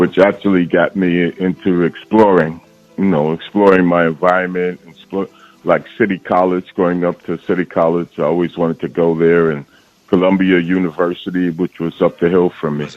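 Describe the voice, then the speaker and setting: A man's very deep, low voice in monotone, flat intonation, with music in the background. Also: moderate pace. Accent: New York. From New York, Harlem. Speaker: rapper. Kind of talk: interview.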